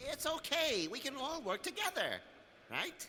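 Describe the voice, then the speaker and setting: Amid clear background noise, a man puts on a squeaky character voice with an extremely high pitch at a moderate pace. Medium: video game. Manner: hesitant, meek.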